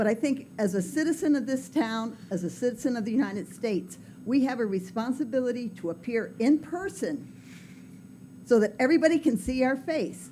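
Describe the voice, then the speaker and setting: With a fairly high pitch and a dark, mellow tone, a woman talks at a fairly quick pace with lively intonation and vocal fry. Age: 70s. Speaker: public commenter. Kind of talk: public comment at council meeting.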